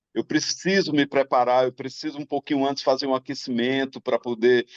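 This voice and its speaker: A man speaks at a medium pitch with ordinary pitch variation. The sound is dry and close, with no echo. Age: 60s. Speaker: singer-songwriter. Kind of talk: talk show panel discussion. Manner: halting.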